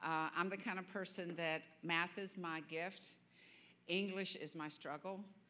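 A woman with a Southern US accent speaks in a fairly low pitch and a flat, monotone delivery. Her tone is bright and sharp. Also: fairly slow pace. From US South. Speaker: guest preacher. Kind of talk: sermon. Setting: church.

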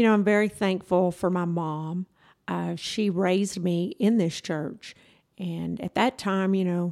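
A woman with a Texan accent and a dark, mellow tone speaks at a fairly slow pace with fairly even intonation in a very clean recording with a silent background. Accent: Texan Southern US. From Texas (rural, North Zulch area). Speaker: church youth director. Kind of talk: testimony. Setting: studio.

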